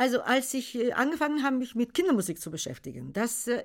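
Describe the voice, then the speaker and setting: A fairly high-pitched woman at a fairly quick pace, with very wide pitch swings. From Bulgaria. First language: Bulgarian (speaking German). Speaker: children's songwriter. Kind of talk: casual chat. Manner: halting.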